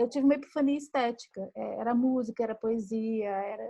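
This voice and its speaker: A woman speaks at a fairly quick pace with a high pitch. Her tone is dark and mellow, with ordinary pitch variation. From Brazil, Minas Gerais. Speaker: writer and screenwriter. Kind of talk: casual chat.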